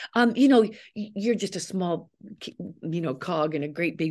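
A woman with a Canadian accent and lively intonation at a moderate pace, over a quiet background. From Canada. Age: 60s. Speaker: actress. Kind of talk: interview.

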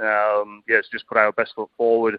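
Here is a man speaking with a British accent at a medium pitch. His delivery is fairly quick and monotone, flat in intonation. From UK. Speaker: cricket assistant coach. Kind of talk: radio interview.

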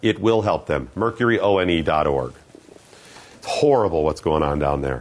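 There's vocal fry in this man's animated tone, and his intonation is lively. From US Midwest, Ohio (Geneva on the Lake). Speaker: fill-in talk radio host. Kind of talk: casual talk radio chat.

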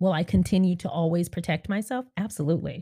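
Dark and mellow in tone, a woman's somewhat breathy voice moves at a moderate pace in a very clean, dry, close recording with no echo and a silent background. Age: 30s. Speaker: podcast host and YouTuber. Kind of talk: casual monologue.

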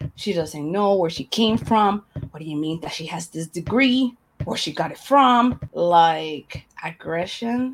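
A woman with a fairly low pitch uses lively intonation, her loudness swinging widely. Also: fairly slow pace. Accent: Spanish. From Panama. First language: Spanish. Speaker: media and broadcasting professional. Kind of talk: interview. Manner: blunt, harsh-sounding.

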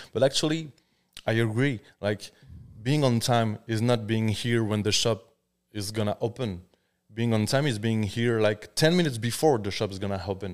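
A moderate pace in a French accent, with ordinary pitch variation, on a very clean recording with a silent background. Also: man, medium pitch for a man. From France. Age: 30s. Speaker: tattoo artist. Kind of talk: casual chat. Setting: studio.

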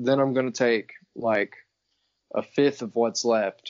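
This man talks at a fairly slow pace in a flat, monotone way. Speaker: podcast guest. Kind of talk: casual chat.

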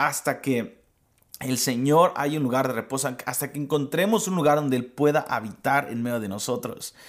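A man speaks at a moderate pace and a fairly high pitch, with ordinary pitch variation, in a normal speaking voice. The recording is very clean, with a silent background. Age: 30s. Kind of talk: devotional teaching.

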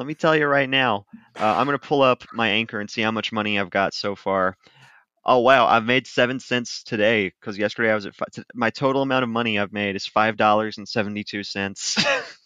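With an American accent, a man talks at a fairly quick pace. His tone is bright and sharp. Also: medium pitch for a man, dry, close sound with no echo, quiet background. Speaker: podcast host. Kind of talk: casual chat.

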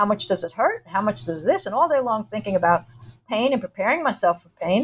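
A very fast, somewhat breathy woman's voice at medium pitch, with very wide pitch swings. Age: 50s. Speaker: author. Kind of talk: interview. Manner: halting, many fillers.

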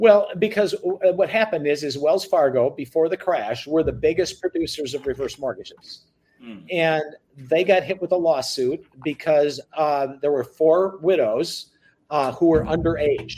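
A man with an American accent speaks at a fairly high pitch and a fairly slow pace with ordinary pitch variation in an unremarkable speaking voice. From US Midwest, central Wisconsin. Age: 60s. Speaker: reverse mortgage business owner. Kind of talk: interview.

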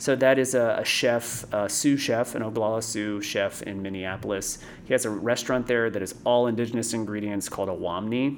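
With an American accent and a normal speaking voice, a man talks at a fairly quick pace and medium pitch, his intonation fairly even and hardly any pauses between words. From Florida, New Smyrna Beach. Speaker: tea company co-founder. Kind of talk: interview.

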